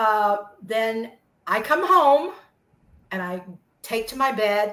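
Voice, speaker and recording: At a very slow pace, a woman with a fairly high pitch and a bright, sharp tone speaks with lively intonation and big swings in loudness. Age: 60s. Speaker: adoptee sharing DNA discovery story. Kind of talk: personal testimony in interview.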